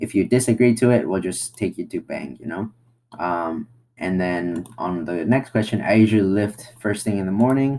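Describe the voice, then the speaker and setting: A man with a non-native accent, a dark, mellow tone and a fairly low pitch, at a moderate pace. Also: ordinary pitch variation. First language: not English. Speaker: online marketing tutorial creator; presenter. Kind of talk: screen-share tutorial. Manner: casual, halting with fillers. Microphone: webcam.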